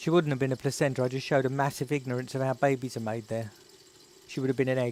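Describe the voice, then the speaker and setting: In an Estuary accent, a man talks at a very fast pace. His intonation stays monotone and flat. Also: medium pitch for a man. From England, North East London. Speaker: YouTuber. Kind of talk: live stream chat. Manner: casual, chatty.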